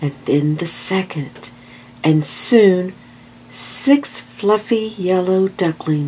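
A natural voice reading aloud, its pitch rising and falling in an ordinary way.

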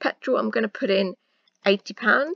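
A woman with a South East England accent speaks at a fairly high pitch with lively intonation, the sound dry and close with no echo. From Luton, England. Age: 20s. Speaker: personal finance YouTuber. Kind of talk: casual talk to camera.

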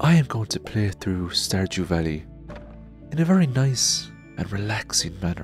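Music plays in the background. A man speaks in a very deep, low voice with very wide pitch swings. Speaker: ASMR gaming creator. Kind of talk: ASMR sleep-inducing gameplay narration. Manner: soft-spoken, slow, relaxing.

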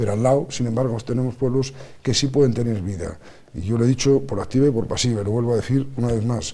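At a very fast pace, a man speaks at medium pitch in a dark, mellow tone with ordinary pitch variation. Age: 50s. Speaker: politician. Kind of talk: TV interview. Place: studio. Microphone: lapel.

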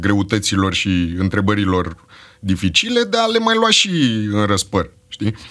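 The man keeps a moderate pace while the background stays quiet. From Romania, Bucharest (Berceni); Romania. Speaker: actor and screenwriter; actor. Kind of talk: casual chat. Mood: relaxed, humorous. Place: studio. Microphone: studio mic.

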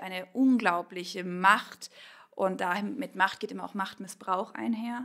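A woman's bright, sharp voice at a fairly slow pace, with fairly even intonation. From Bavarian Swabia, Kaufbeuren. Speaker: pastor. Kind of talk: interview.

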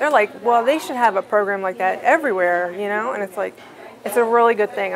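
Noticeable background noise behind a woman speaking. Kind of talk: interview answer. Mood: warm, grateful. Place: hall.

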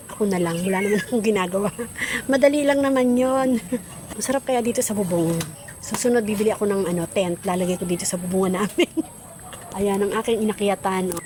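Amid noticeable background noise, a woman speaks very fast at a medium pitch with ordinary pitch variation. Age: 60s. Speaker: vlogger. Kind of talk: casual vlog talk. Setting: outdoors on a rooftop.

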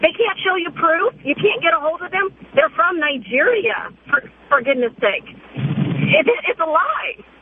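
An animated woman speaks at a fairly slow pace with extremely high pitch and very wide pitch swings. Noticeable background noise is present. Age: 30s. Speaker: caller. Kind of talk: radio call-in. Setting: phone call.

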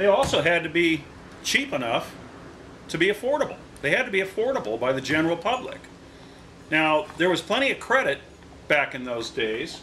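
With light background noise behind him, a man speaks at a moderate pace in a high pitch with very wide pitch swings. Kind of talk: tutorial. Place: garage.

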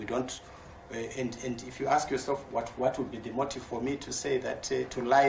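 Against light background noise and audible room echo, a man speaks at a moderate pace and medium pitch. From Zimbabwe. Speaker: government minister for energy. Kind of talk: press briefing answers. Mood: defensive, firm. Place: meeting room. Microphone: podium.

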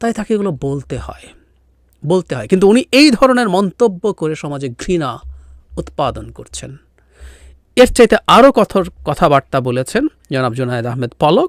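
A man's high-pitched voice with very wide pitch swings and big swings in loudness, dry and close with no echo, in a very clean recording with a silent background. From Bangladesh, Rangamati hill district. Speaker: political commentator. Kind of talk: political commentary.

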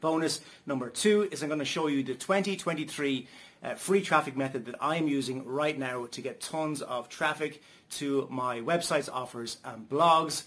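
The voice belongs to a man. Pitch variation stays ordinary. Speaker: online marketing reviewer. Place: home room.

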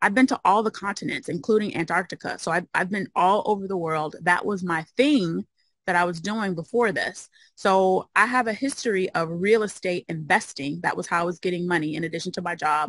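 Fairly quick speech from a woman with an American accent and ordinary pitch variation. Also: dry sound with no echo. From US Midwest, Chicago. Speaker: occupational therapist and mobile home investor; interview guest. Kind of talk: interview. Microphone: video call.

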